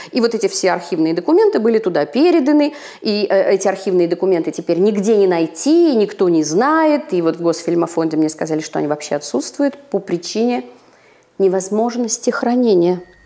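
A woman talks fairly quickly, and her pitch swings very widely. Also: medium pitch for a woman, quiet background. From Urals, Russia. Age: old. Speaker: actress. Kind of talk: interview answer. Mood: troubled, earnest. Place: office.

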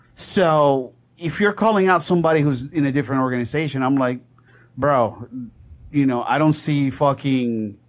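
A man talks at a moderate pace in a normal speaking voice, his pitch fairly high and his loudness very even. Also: ordinary pitch variation. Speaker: podcast host. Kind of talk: casual chat.

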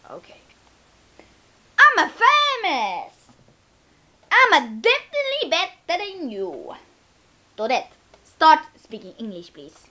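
A woman puts on a character voice at an extremely high pitch. She goes fairly slowly, with long, frequent pauses.

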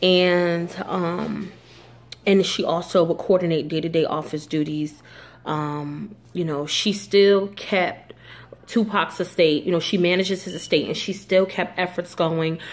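Delivered at a fairly slow pace, the speech has fairly even intonation. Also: woman, fairly low pitch for a woman.

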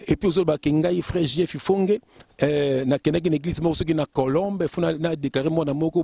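A man speaks at a fairly quick pace in a fairly high pitch with ordinary pitch variation, the sound dry with no echo against a quiet background. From France, Lille, Congolese family; France. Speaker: preacher. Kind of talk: sermon. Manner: animated. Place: garden. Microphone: handheld.

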